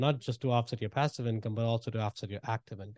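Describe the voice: A man with an Indian accent at medium pitch with fairly even intonation, in a dry, close sound with no echo and a quiet background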